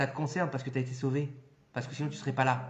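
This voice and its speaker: A man's animated tone with audible room echo. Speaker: rabbi giving a Torah class. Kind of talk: lecture. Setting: hall with live audience. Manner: loud.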